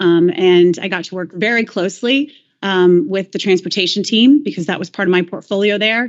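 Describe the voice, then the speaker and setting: A woman speaks in a plain, everyday voice at medium pitch with ordinary pitch variation. Her pace is fairly quick. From Missouri, US Midwest. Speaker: board chair, state agency director. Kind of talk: formal meeting chairing.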